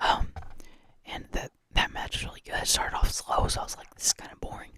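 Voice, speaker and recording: Someone whispers at a fairly quick pace. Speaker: ASMR creator. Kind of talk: ASMR ramble about wrestling. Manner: whispered.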